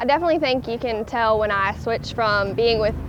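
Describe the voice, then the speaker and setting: A woman with a strong Southern accent speaks at a fairly high pitch with ordinary pitch variation. Noticeable background noise and audible room echo fill the recording. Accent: thick Southern. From US South. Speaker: college student. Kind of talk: interview answers.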